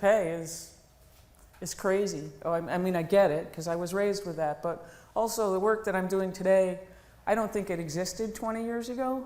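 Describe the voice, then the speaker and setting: A woman talks at a fairly quick pace with a medium pitch. Her pitch varies in an ordinary way, and room echo is audible. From New England. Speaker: woodworking business owner. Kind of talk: conference talk.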